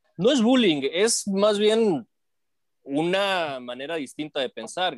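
On a very clean recording with a silent background, a man's pitch swings very widely. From northern Mexico, Matamoros, Tamaulipas. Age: 40s. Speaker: sports broadcaster. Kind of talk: casual interview. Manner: halting, many repetitions.

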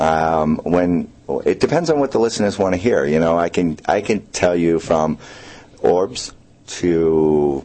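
This man has a very deep, low voice. His pitch moves with ordinary variation. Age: 30s. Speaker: paranormal investigator. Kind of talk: radio interview. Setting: radio studio.

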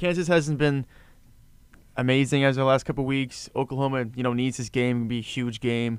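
A man's ordinary speaking voice, medium-pitched, at a fairly quick pace with fairly even intonation, on a very clean recording with a silent background. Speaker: sports podcast co-host. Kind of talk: casual chat.

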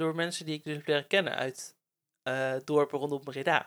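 A man speaks at a moderate pace. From Netherlands, Bible Belt village (Werkendam). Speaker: podcast host. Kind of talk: casual chat. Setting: on a couch at home.

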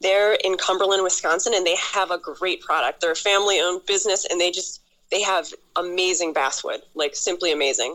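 Her voice is a normal speaking voice: a woman with an American accent talks at a fairly quick pace and medium pitch, with very even loudness and fairly even intonation. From Buffalo, New York. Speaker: whittler guest. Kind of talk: phone interview.

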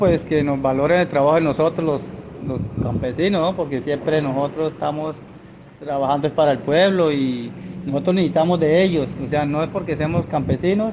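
A man's fairly high voice with ordinary pitch variation at a moderate pace, over noticeable background noise. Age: 50s. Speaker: farmer. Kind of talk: casual interview. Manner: halting.

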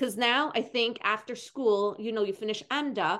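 A woman talks in a plain, everyday voice pitched fairly high. Her intonation is lively. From Montreal, Canada. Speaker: podcast host. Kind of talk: casual interview. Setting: video call.

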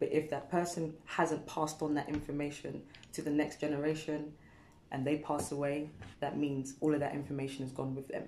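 A woman's very deep, low voice in a British accent, dark and mellow in tone, flat and monotone, at a fairly quick pace. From England, Ghanaian heritage. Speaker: wellness practitioner and dancer. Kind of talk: casual interview chat. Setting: studio.

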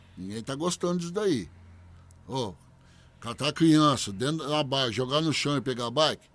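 Very wide pitch swings mark a man's fairly high voice at a fairly slow pace. The recording is very clean, with a silent background. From Bebedouro, São Paulo state, Brazil. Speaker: public servant and former capoeira fighter. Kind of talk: interview testimony.

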